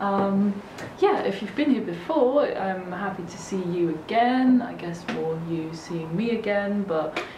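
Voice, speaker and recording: Woman speaking at a fairly slow pace amid noticeable background noise. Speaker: vlogger. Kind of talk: casual vlog chat. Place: home room.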